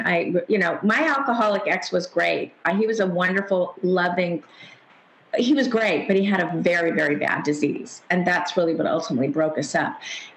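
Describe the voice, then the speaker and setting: Speaking with an American accent, a woman uses lively intonation, a medium pitch, very even loudness and a moderate pace, with audible room echo and noticeable background noise. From California. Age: 60s. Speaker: psychotherapist and author. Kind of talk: interview.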